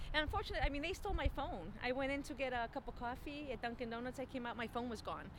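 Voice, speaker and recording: A woman's high-pitched voice, lively in intonation, at a very fast pace with hardly any pauses, over noticeable background noise. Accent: American. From Chicago, US Midwest. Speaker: communications graduate. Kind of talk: casual interview.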